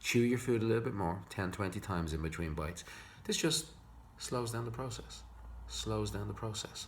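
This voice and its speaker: There is audible room echo. A man speaks in an Irish accent. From Ireland. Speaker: psychologist. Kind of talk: tutorial. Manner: fast.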